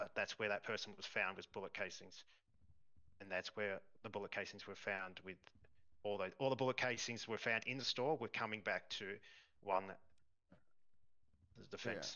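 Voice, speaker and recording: A man with an Australian accent, fairly low pitch and fairly even intonation at a moderate pace, with long, frequent pauses. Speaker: police officer in roleplay. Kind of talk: roleplay courtroom testimony. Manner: halting.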